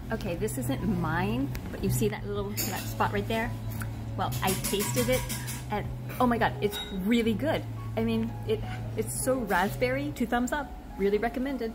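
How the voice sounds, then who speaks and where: A woman talks at a moderate pace with long, frequent pauses while music plays clearly in the background. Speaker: cafe visitor vlogger. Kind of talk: casual vlog chat. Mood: excited, delighted. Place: cafe. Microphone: phone near.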